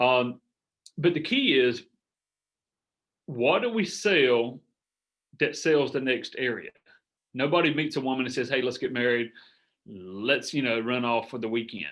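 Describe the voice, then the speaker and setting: In a Southern US accent, a man speaks at a fairly slow pace with ordinary pitch variation and long, frequent pauses. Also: medium pitch for a man. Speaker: business coach. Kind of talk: group coaching call. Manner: casual, rambling with fillers.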